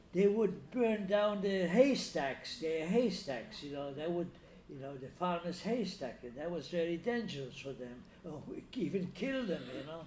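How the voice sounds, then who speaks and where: Here a man with a high pitch talks at a fairly slow pace, his intonation lively. His loudness rises and falls sharply, and room echo is audible. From Danzig (Free City), later Italy. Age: 90s. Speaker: Holocaust survivor. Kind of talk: interview testimony. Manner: halting, many repetitions and fillers.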